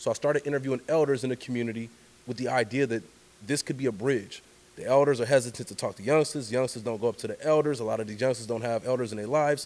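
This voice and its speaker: The pace is very fast, in an American accent. Intonation stays fairly even. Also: man, medium pitch for a man. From Oakland, California (East Oakland). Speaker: journalist and storyteller. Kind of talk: casual interview conversation.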